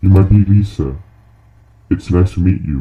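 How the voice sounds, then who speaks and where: Putting on a character voice, a man delivers his lines with a very deep, low pitch at a moderate pace. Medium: read story. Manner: polite, calm.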